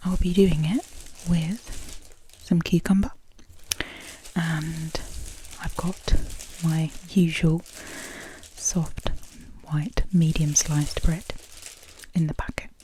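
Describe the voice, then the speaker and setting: With a British accent, a woman speaks at a fairly low pitch and a very slow pace. Her intonation stays fairly even, and she takes long, frequent pauses. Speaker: ASMR creator. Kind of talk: ASMR soft-spoken food video. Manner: rambling, hesitant with many fillers.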